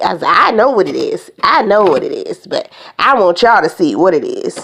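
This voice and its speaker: Animated in tone, a woman talks at a moderate pace. Her pitch swings very widely. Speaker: beauty and nails vlogger. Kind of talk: unboxing video, casual chat.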